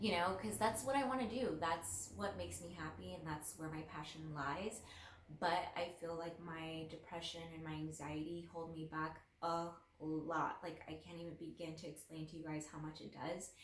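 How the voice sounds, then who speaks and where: Over noticeable background noise and audible room echo, a woman talks with a fairly low pitch and ordinary pitch variation. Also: moderate pace. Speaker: lifestyle vlogger. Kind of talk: casual personal talk to camera. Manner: shaky voice; halting, with fillers.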